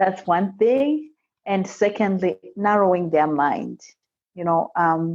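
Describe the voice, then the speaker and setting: A woman with an African accent speaks at a very slow pace, her medium pitch carried by lively intonation. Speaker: immigrant entrepreneur and seminar speaker. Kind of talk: podcast interview.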